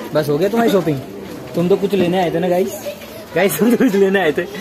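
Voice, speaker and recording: A man talks fairly quickly, his pitch varying in an ordinary way, with clear music in the background. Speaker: vlogger. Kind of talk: casual vlog chat. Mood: joking, teasing friend. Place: shop. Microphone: phone near.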